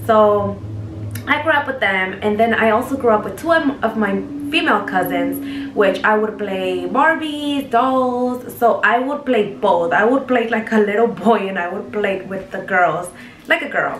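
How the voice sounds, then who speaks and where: A woman's fairly high voice with a Mexican accent and lively intonation, at a moderate pace, with audible room echo and noticeable background noise. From Mexico, Jalisco. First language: Spanish. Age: 20s. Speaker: vlogger. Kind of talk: casual chat.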